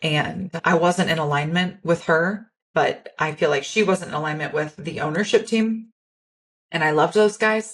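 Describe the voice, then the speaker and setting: This woman's somewhat breathy voice sits at a fairly low pitch, moving at a moderate pace with ordinary pitch variation. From rural farm upbringing. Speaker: podcast host, entrepreneur. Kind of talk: solo podcast monologue. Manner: candid, unpolished.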